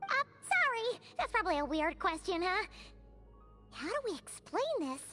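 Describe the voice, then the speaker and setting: A put-on character voice at an extremely high pitch and a moderate pace over loud music in the background. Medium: video game. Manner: excitable, chatty.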